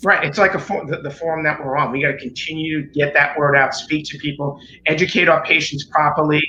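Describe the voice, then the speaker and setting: Over noticeable background noise, a man with a New York accent talks at a very fast pace in a fairly high voice with fairly even intonation. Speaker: chiropractor. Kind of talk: interview explanation.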